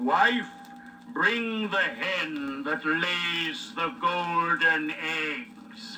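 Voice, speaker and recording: Loud background noise surrounds a man putting on a character voice. He talks very slowly at a high pitch. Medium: read story. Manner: bossy, commanding.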